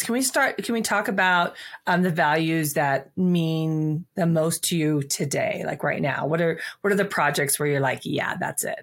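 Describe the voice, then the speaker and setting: A woman's ordinary speaking voice, fairly low in pitch with ordinary pitch variation, at a moderate pace on a very clean recording with a silent background. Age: 40s. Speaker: podcast host. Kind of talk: interview.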